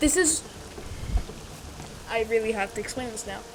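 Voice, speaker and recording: Female speech with lively intonation, set against noticeable background noise. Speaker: gaming YouTuber. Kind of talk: video essay commentary. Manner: halting; quiet.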